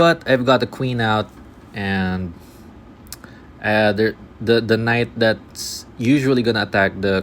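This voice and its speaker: A mumbling man at a fairly slow pace, fairly low in pitch, with ordinary pitch variation. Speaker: chess streamer. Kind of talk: live game commentary. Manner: halting, filler-heavy.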